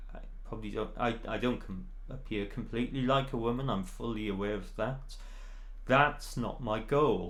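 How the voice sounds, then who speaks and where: At a moderate pace, a man speaks with medium pitch. His pitch variation is ordinary. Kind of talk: casual talk to camera. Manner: hesitant, many fillers.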